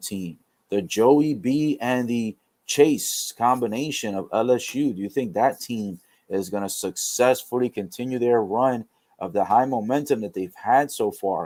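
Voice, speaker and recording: This man's voice sits at a medium pitch and has a dark, mellow tone, with lively intonation. The recording is very clean, with a silent background. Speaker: sports livestreamer. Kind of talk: live commentary. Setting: livestream. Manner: fast; stumbling over words.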